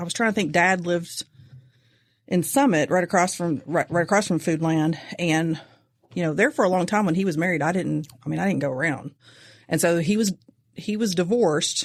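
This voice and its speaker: With a Kentucky accent, a woman talks at a fairly quick pace and a fairly low pitch, with ordinary pitch variation. She takes long, frequent pauses, and the recording is very clean with a silent background. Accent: Kentucky country. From eastern Kentucky. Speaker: host's wife. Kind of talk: casual chat.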